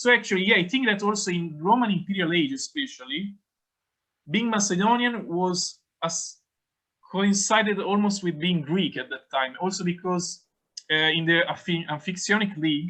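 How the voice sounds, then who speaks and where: A man talks at a moderate pace in a high-pitched, raised, projected voice. His tone is bright and sharp. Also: ordinary pitch variation. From Italy. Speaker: academic conference speaker. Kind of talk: academic Q&A answer. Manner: halting.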